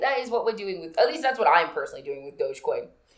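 A woman with vocal fry speaks at a fairly high pitch, her voice making very wide pitch swings. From Nigerian heritage. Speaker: podcast co-host. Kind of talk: casual chat.

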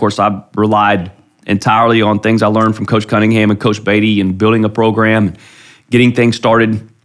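A man with a Midwestern American accent speaks at medium pitch and a moderate pace in a monotone, flat intonation, on a very clean recording with a silent background. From US Midwest, Ohio (Columbus area). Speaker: high school football coach. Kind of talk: interview conversation. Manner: halting, frequent repetitions.

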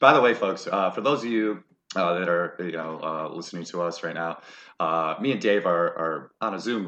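Against a quiet background, a man speaks at a very deep, low pitch in a bright, sharp tone. His pace is moderate and his pitch variation ordinary. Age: 30s. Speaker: podcast co-host. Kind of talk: casual chat. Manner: laid-back, lots of fillers.

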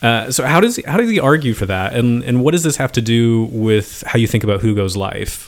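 With an American accent and a plain, everyday voice, a man talks at a fairly quick pace with hardly any pauses, medium pitch and ordinary pitch variation. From Philadelphia, US. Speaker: podcast host and philosophy lecturer. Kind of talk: interview. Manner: casual, filler-heavy.

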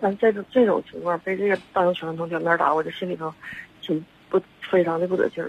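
There is noticeable background noise behind this woman. She speaks at a very fast pace with fairly even intonation. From Shenyang, northeast China. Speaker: caller, mother. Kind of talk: phone-in account of a problem. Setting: phone call. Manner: halting, many fillers. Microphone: too quiet.

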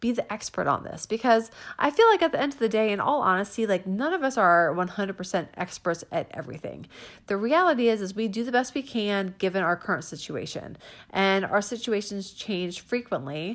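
In a very clean recording with a silent background, a woman with a normal speaking voice talks at medium pitch. Her pace is moderate and her intonation lively. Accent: American. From Northern Virginia, US. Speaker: podcast host and small business owner. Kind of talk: casual monologue. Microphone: audio quality not always good.

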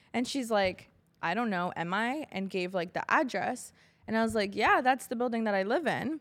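A woman has a normal speaking voice with a fairly high pitch and lively intonation at a moderate pace. The recording is very clean with a silent background. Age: 20s. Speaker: podcast co-host. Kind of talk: casual chat.

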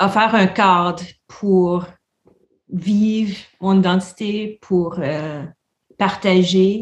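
Speaking at a very slow pace, a woman with a medium pitch sounds somewhat breathy. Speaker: visual artist and university lecturer. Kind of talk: casual interview.

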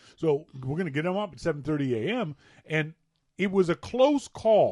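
A man with a dark, mellow tone and a fairly high pitch speaks at a moderate pace with very wide pitch swings against a quiet background. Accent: Maritime Canadian. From Nova Scotia, Canada. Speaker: podcast co-host. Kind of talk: casual chat.

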